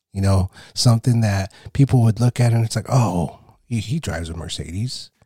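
A man speaks at a moderate pace with ordinary pitch variation, somewhat breathy and dark, mellow in tone, in a very clean, dry and close recording with no echo and a silent background. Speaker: faith podcast host. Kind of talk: devotional podcast monologue. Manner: casual.

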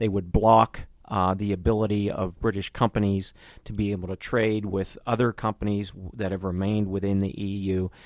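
Here a man with a fairly low pitch talks at a fairly quick pace in a monotone, flat intonation. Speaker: investment officer. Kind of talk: radio interview on markets. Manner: measured, hesitant with fillers.

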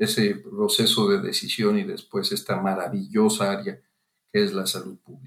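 A somewhat breathy male voice with very wide pitch swings. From Mexico, Guanajuato. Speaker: physician and public health official. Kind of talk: interview.

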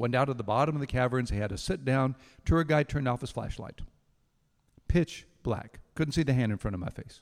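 With ordinary pitch variation, a normal speaking voice proceeds at a fairly quick pace. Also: man, medium pitch for a man. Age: 60s. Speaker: pastor. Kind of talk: sermon.

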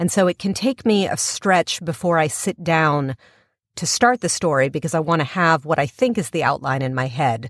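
A woman with an American accent uses a normal speaking voice, fairly low in pitch with lively intonation. The sound is dry and close with no echo, on a very clean recording with a silent background. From Pennsylvania, US. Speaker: podcast producer, writer and actor. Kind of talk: interview conversation.

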